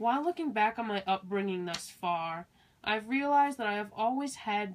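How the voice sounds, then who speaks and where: A woman's medium-pitched, a normal speaking voice with ordinary pitch variation. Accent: American. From US Midwest, Milwaukee, Wisconsin. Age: young. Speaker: college student. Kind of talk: scripted narration. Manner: measured.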